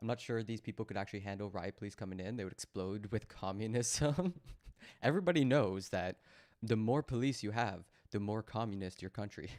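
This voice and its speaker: A man with a Canadian accent and a plain, everyday voice, fairly low in pitch, at a moderate pace, in a dry, close sound with no echo and a very clean recording with a silent background. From Canada. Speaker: livestream commentator. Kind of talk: live reaction commentary.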